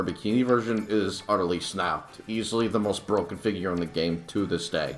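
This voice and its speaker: Against noticeable background noise, a man talks in a fairly low pitch with ordinary pitch variation. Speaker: gaming YouTuber. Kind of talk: game guide commentary. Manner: halting, many fillers.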